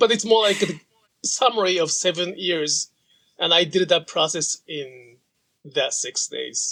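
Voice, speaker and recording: A man speaks at a fairly slow pace in a high voice with a bright, sharp tone. His pitch varies in an ordinary way. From Japan. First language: Japanese. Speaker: sashiko practitioner and author. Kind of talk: interview conversation.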